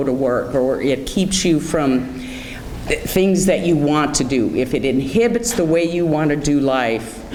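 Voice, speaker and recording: A woman's very deep, low pitch, with audible room echo and noticeable background noise. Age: 60s. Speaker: guest speaker on anxiety, author. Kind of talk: motivational talk. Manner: conversational.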